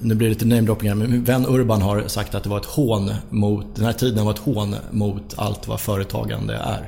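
Over noticeable background noise and audible room echo, a man speaks at a fairly low pitch with fairly even intonation. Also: moderate pace, hardly any pauses. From Sollentuna, north of Stockholm, Sweden. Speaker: football club board member. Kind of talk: casual interview.

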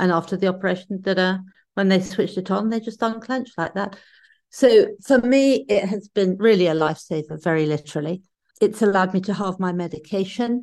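Speaking in a British accent at a fairly quick pace, a woman with medium pitch and ordinary pitch variation is heard against a quiet background. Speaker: podcast co-host living with Parkinson's. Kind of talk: casual chat. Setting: video call.

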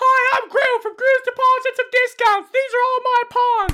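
In a put-on character voice, a woman speaks squeaky and at an extremely high pitch, with monotone, flat intonation and a moderate pace. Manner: cheesy, salesman-like.

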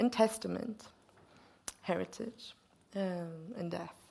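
A woman speaks with a Swedish accent. Her pitch is medium, with ordinary variation. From Sweden. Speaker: poet and interviewer. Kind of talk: onstage literary conversation. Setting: stage with audience.

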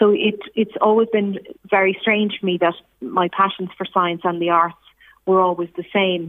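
A woman speaks with an Irish accent at medium pitch. Her intonation stays fairly even. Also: moderate pace. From Ireland, Dundalk. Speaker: scientist and performer. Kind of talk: interview.

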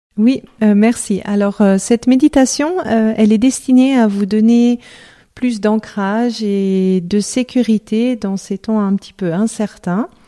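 Her tone is dark and mellow, and the woman speaks at a very slow pace with fairly even intonation. The sound is dry and close, with no echo. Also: fairly high pitch for a woman. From France, Lyon. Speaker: love coach. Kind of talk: interview; guided meditation.

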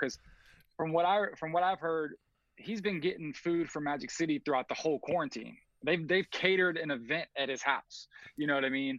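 A man's fairly high, bright and sharp voice, fairly quick, with ordinary pitch variation and a dry, close sound with no echo. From Atlanta, US South. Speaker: music video director. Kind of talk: casual chat.

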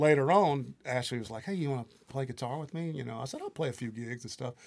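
Talking at a very fast pace, a man with a Mississippi accent keeps a medium pitch and lively intonation. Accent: Southern US (Mississippi). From US South, Mississippi Delta (Greenville, Mississippi). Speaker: songwriter, producer and guitarist. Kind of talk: casual interview. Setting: studio.

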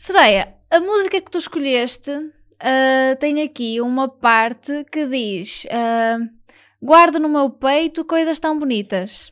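Speech comes at a very slow pace with lively intonation. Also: woman, high pitch for a woman. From northern Portugal. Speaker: parish radio host. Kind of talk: interview. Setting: studio.

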